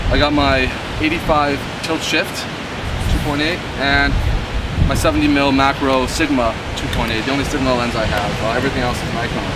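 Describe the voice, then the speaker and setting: Loud background noise runs under a man speaking at a moderate pace. His speech has long, frequent pauses. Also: dry sound with no echo. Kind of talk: casual gear walkthrough. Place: beach.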